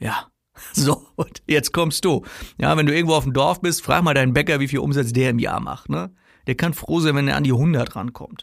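Speaking at a moderate pace, a man with a fairly high pitch shows vocal fry and ordinary pitch variation. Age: 40s. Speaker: sales coach and podcast host. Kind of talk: solo podcast monologue. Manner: casual, conversational with frequent fillers.

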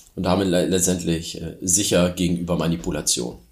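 A man's very deep, low voice at a moderate pace, with audible room echo. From Germany. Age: 40s. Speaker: startup founder. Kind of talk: interview.

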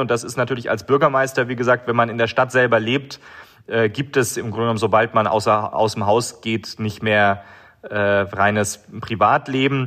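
A bright, sharp tone comes from a man who keeps a moderate pace. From Germany, Baden-Württemberg. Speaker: mayor. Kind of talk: interview.

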